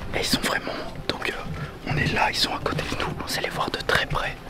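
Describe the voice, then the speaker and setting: A man whispers at a moderate pace. Noticeable background noise and audible room echo surround him. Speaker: travel vlogger. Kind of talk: casual vlog chat.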